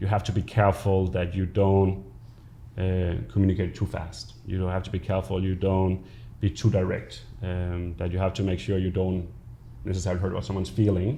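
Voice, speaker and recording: A man's very deep, low voice, dark and mellow in tone and somewhat breathy, with a Danish accent and a fairly quick pace. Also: ordinary pitch variation. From Denmark. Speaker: business executive. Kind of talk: interview.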